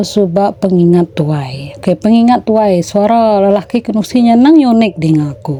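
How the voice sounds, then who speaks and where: Speaking with lively intonation at a medium pitch, a woman is heard over noticeable background noise. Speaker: storyteller. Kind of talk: storytelling; casual chat.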